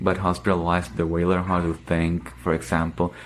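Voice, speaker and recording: Over music in the background, a man with a very deep, low voice speaks at a fairly quick pace. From Dominican Republic. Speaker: internal medicine resident physician. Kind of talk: interview answer.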